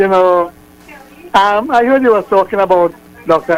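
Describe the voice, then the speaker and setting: Music runs in the background. The man talks at a moderate pace. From Trinidad. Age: 70s. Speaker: radio caller. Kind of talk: phone-in call. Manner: halting.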